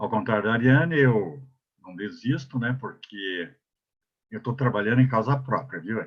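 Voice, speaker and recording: A somewhat breathy male voice at medium pitch, moderate pace, ordinary pitch variation and big swings in loudness. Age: 70s. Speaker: elderly rights council advocate, panelist. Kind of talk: webinar panel talk. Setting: online webinar. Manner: halting, many fillers and restarts.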